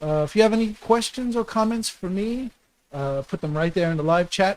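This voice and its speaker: A man's voice with ordinary pitch variation, at a fairly quick pace. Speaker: livestream host, small business talk. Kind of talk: live stream talk. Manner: fast; halting, many fillers.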